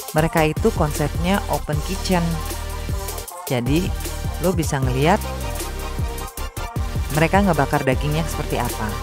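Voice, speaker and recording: Music is clearly audible behind the speech, which moves at a moderate pace. Long pauses come often, and the sound is dry with no echo. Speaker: food vlogger. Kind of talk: casual vlog chat. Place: cafe. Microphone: phone near.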